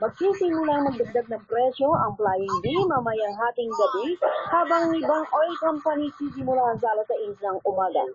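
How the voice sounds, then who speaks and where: Over light background noise, the speech moves at a moderate pace with hardly any pauses. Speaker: radio news anchor. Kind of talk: radio news broadcast. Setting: radio station broadcast. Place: studio. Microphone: studio mic.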